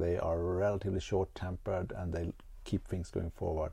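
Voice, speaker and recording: A man with a Swedish accent speaks at a very deep, low pitch in a dark, mellow tone, somewhat breathy, in a very clean recording with a silent background. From Sweden. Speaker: podcast host. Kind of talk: casual chat. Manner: soft-spoken.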